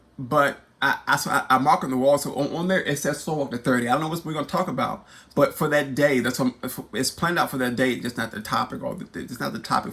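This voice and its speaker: A man talks at a very fast pace in a bright, sharp, animated tone with vocal fry. His pitch is medium, with ordinary variation. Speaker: YouTube host and spoken word poet. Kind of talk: personal testimony vlog. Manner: halting, many repetitions and fillers.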